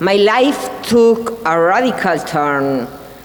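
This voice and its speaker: A woman with a Spanish accent speaks at a very slow pace and a medium pitch. Audible room echo and noticeable background noise fill the recording. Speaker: whistleblower. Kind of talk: testimony speech. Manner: halting.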